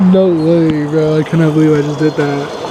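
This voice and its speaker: Noticeable background noise accompanies a man's high voice. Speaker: car vlogger. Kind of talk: casual vlog.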